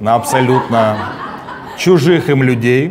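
There is noticeable background noise as a man speaks. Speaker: comedy show host. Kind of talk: satirical show monologue and interview. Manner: animated, sarcastic. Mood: sarcastic, ironic. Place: studio.

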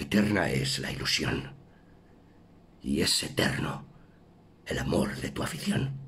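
A man speaks at a very slow pace with a very deep, low pitch. His long, frequent pauses break up ordinary pitch variation. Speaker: actor. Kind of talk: poetry reading. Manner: emotive, stirring.

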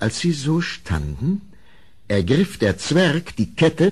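At a fairly slow pace, a man with a medium pitch and a slightly mellow tone speaks with big pitch swings.

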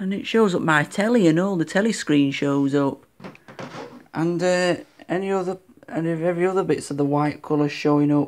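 At a moderate pace, a woman speaks in a fairly low pitch with ordinary pitch variation and long, frequent pauses. Light background noise is present. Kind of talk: casual show-and-tell narration. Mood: pleased, mildly excited. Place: home room. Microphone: phone near.

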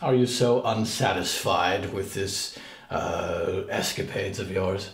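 A man's put-on character voice at a fairly slow pace, with a slight echo. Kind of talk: gothic theatrical speech. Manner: formal, archaic, icy.

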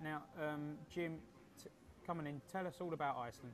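A man with a southeast English accent at a fairly quick pace, over light background noise. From England, Colchester; England. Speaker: football podcast host. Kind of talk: casual panel chat. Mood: relaxed, opinionated. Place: home room.

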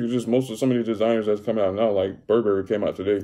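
Very fast-talking man with an American accent, medium pitch and a dark, mellow tone. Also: quiet background. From Tampa Bay area, Florida; Florida. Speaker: YouTuber. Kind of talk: casual mukbang vlog. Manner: casual, halting with fillers. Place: home room. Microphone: phone near.

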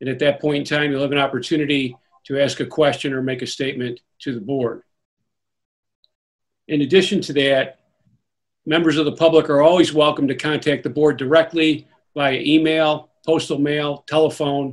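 Against a quiet background, a man speaks in a flat monotone, leaving long, frequent pauses. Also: moderate pace. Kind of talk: formal meeting announcement. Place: home room. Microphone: video call.

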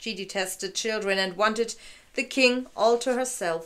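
Using ordinary pitch variation, a woman talks at a moderate pace. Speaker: fairy-tale narrator. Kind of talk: reading a story aloud. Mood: calm, gentle narration. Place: home room. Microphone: camera far.

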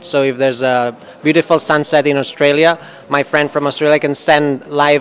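Light background noise sits behind the recording. A man talks at a fairly quick pace. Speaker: interview guest. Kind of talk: interview answer. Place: hall. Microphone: handheld.

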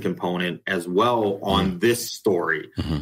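A man with a US Midwestern accent. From Ohio, US Midwest. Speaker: animal shelter director. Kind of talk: interview.

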